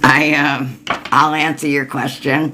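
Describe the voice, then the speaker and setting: Noticeable background noise runs beneath speech delivered at a very slow pace. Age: 60s. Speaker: tarot reader and energy healer. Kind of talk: tarot reading livestream, answering viewers. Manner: casual, informal.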